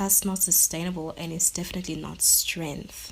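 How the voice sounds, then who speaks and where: A woman with a fairly low pitch and vocal fry speaks at a moderate pace with ordinary pitch variation. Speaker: podcast host. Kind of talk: personal monologue. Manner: halting; shaky voice.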